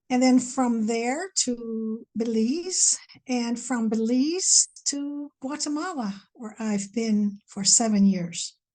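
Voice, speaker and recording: A woman's fairly high voice with an American accent, dark and mellow in tone, at a very slow pace over a quiet background. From Pittsburgh, Pennsylvania, US. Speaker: reverend and speaker. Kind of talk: interview.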